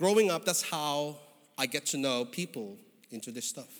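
Recorded very cleanly against a silent background, the voice has a warm tone and a Filipino accent. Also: man. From Philippines. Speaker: guest preacher. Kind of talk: sermon. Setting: church. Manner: warm, conversational with humor.

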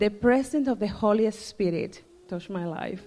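A woman with a Spanish accent talks at a fairly high pitch, her intonation lively. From Dominican Republic. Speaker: church member. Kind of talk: testimony.

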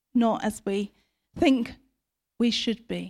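A woman with a British accent speaks in a high pitch with fairly even intonation. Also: very clean recording, silent background. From Britain. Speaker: preacher. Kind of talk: sermon.

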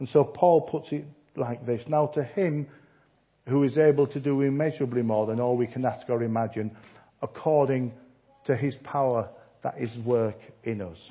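A man with a Yorkshire accent talks at a moderate pace, his voice somewhat breathy. His pitch varies in an ordinary way, and he takes long, frequent pauses. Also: medium pitch for a man. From Yorkshire, northern England. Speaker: visiting preacher. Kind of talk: sermon. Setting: church.

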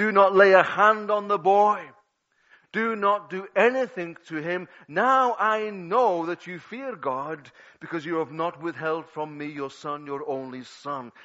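The speaker talks at a fairly slow pace with a Liverpool accent and ordinary pitch variation. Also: man. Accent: Scouse (Liverpool). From Liverpool, England. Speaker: pastor. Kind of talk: sermon. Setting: church.

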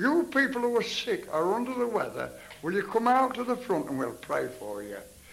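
There is noticeable background noise as a man talks at a fairly quick pace. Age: 70s. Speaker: healing evangelist preacher. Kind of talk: revival healing meeting sermon. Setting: church chapel with congregation. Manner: animated, exhortative.

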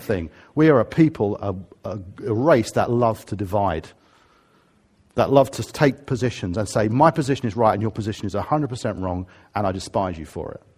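A man speaks with a southern English accent at a very fast pace. His pitch sits in the medium range, and his intonation is lively. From England, Harrow. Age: 50s. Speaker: pastor. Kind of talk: sermon. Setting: church.

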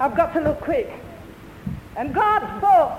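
A man speaks in an animated tone with lively intonation. Noticeable background noise runs behind him. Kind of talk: sermon. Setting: church. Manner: animated, fervent pulpit delivery, punchy exclamations and calls for amens.

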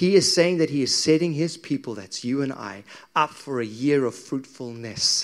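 With an ordinary speaking voice, a man talks at a moderate pace and fairly high pitch, his intonation lively and his loudness swinging widely. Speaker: preacher. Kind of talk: sermon. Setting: church with congregation.

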